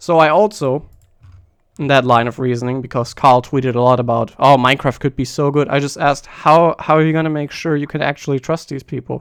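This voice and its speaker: A man speaks with a German accent at a fairly quick pace. His pitch is fairly high and his intonation fairly even. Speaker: streamer and speedrunning commentator. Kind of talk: live stream commentary rant. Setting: live stream. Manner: halting, with false starts.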